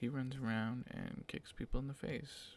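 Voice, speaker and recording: A man is heard. He is whispering. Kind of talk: ASMR whispering. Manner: whispered.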